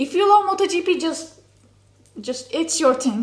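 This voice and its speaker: A woman's voice over noticeable background noise. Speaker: motorsport YouTuber. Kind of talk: casual recommendation vlog. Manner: animated, many fillers.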